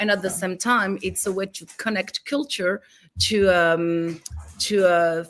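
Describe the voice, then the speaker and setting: At a fairly slow pace, a woman talks with a Greek accent. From France, raised in a Greek family. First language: French. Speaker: film director and writer. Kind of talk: interview. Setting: live stream. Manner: halting, many fillers.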